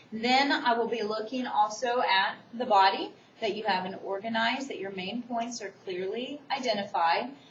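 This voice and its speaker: Speaking at a moderate pace with a fairly high pitch and ordinary pitch variation, a woman is heard amid noticeable background noise and audible room echo. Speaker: college instructor. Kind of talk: recorded lecture for online course.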